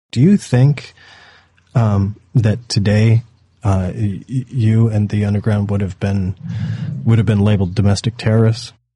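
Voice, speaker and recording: A man with an American accent and a fairly low, dark, mellow, somewhat breathy voice, fairly even intonation, and long, frequent pauses. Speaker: podcast host. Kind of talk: podcast monologue and interview. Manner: halting.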